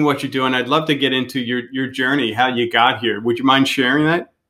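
A man has a normal speaking voice. He talks at a moderate pace with ordinary pitch variation. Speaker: podcast host. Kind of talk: casual interview.

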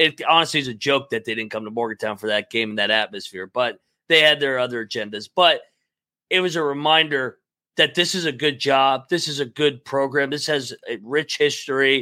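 In a very clean recording with a silent background and a dry, close sound with no echo, a man with an American accent speaks at a fairly quick pace in a fairly high pitch, his tone bright and sharp and his pitch variation ordinary. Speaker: sports podcast co-host. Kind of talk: casual chat. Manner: halting.

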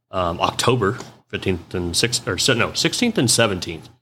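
This loud man has a fairly low pitch and a bright, sharp tone. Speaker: mobile automotive diagnostic business owner. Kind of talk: casual chat. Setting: in person at a trade conference. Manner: animated.

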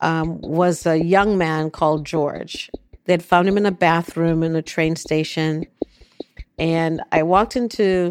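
Fairly even intonation runs through a fairly slow delivery. The voice is a normal speaking voice. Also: woman. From Jamaica, then New York. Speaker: neuroscientist and addiction researcher. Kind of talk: personal testimony interview.

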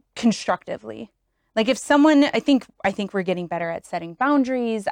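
Recorded very cleanly against a silent background, with dry, close sound and no echo, a woman with a plain, everyday voice and an American accent speaks at a fairly quick pace with ordinary pitch variation. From Wisconsin. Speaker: chemical engineer. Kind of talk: casual chat.

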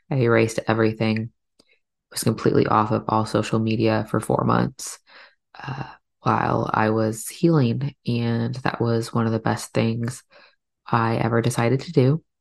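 The voice shows vocal fry along with big swings in loudness. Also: woman, very deep, low pitch for a woman, fairly even intonation, moderate pace. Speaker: podcast host and doula. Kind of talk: solo podcast monologue.

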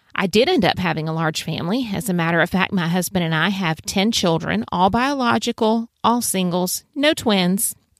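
A woman with a South Carolina Lowcountry accent, medium pitch and lively intonation, at a moderate pace with hardly any pauses, in a very clean recording with a silent background. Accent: Southern US (South Carolina Lowcountry). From US South, Low Country of South Carolina. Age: 50s. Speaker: podcast host, homeschooling mother. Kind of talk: podcast monologue.

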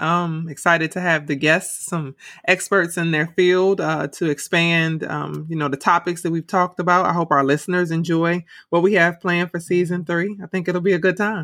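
A woman speaks with an American accent at a fairly low pitch. She leaves hardly any pauses. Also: very clean recording, silent background. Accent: Cleveland accent, comes out when fed up. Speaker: podcast host, educator. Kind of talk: casual chat.

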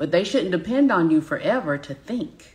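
A woman speaks with a Southern US accent. Her pitch swings very widely. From US South. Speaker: business coach. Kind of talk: live-stream teaching. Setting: live broadcast from home.

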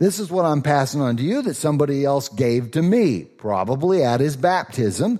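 A man's fairly high voice in a dark, mellow tone with a slight Southern US accent, very wide pitch swings, a moderate pace and hardly any pauses. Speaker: pastor. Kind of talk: sermon. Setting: church.

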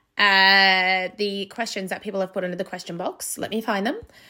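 A bright, sharp tone with an Australian accent at a fairly slow pace, on a very clean recording with a silent background. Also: woman. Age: 20s. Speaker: podcast host and graduate teacher. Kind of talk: casual monologue.

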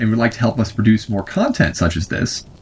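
This man speaks at a medium pitch, and his voice is somewhat breathy. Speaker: podcast host and writer. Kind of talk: scripted show intro and outro.

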